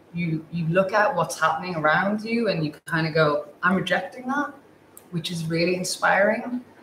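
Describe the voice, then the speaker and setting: A woman's fairly low voice at a moderate pace, with light background noise and audible room echo. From England. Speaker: portrait photographer, panel host. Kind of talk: panel discussion. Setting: livestream. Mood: warm, hopeful. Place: studio.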